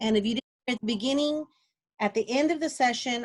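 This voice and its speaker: A woman speaks with ordinary pitch variation, sounding somewhat breathy. The background is quiet. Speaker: instructional technology specialist leading teacher training. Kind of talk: online training session. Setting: video call. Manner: fast. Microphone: video call.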